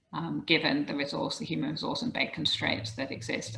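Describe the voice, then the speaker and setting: A woman with a British accent. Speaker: professor. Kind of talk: lecture. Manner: halting, frequent um fillers.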